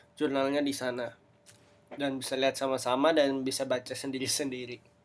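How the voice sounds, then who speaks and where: Fairly quick speech, its intonation monotone and flat. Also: man. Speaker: podcaster. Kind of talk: solo podcast talk. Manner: halting; casual.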